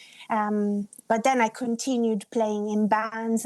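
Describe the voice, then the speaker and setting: A woman speaks at a fairly high pitch in a flat monotone, very slowly. The sound is dry and close, with no echo. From Italy. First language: Italian. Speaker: singer-songwriter. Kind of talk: interview.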